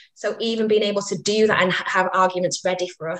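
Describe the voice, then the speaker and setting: Speaking with a Mancunian accent, a woman talks at a fairly quick pace. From northern England, Manchester. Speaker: women's rights campaigner. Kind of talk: interview.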